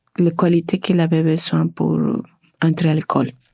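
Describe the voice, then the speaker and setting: A woman with a Spanish accent, fairly low in pitch, with a dark, mellow tone. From Argentina. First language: Spanish (speaking French). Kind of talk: testimony. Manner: halting, many hesitations.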